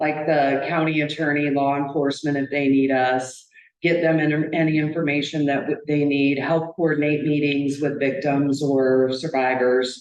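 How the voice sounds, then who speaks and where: Her very deep, low voice held at a very even loudness, a woman speaks at a moderate pace in monotone, flat intonation, with audible room echo. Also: hardly any pauses. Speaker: victim advocate. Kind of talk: public presentation. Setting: county board meeting at podium. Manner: halting.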